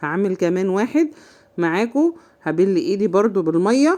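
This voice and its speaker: A woman with an Egyptian accent speaks at a moderate pace in a fairly high pitch with a dark, mellow tone. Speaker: home cooking channel host. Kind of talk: cooking tutorial. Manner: casual, chatty.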